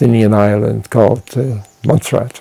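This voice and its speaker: Noticeable background noise sits behind this man's voice. His pitch is fairly low and his intonation fairly even. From Netherlands (Wassenaar, near The Hague). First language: Dutch. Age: 80s+. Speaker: retired anthropologist. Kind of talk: interview. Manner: halting, many fillers.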